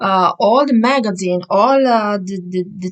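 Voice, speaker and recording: A woman speaks with an Italian accent. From Italy. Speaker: vlogger. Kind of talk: casual monologue vlog. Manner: hesitant, many fillers.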